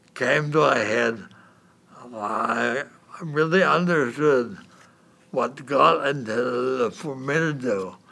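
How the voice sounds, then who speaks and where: A man speaks at a very slow pace through noticeable background noise. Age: 80s+. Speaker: retiree, community volunteer. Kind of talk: personal testimony. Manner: halting, with fillers.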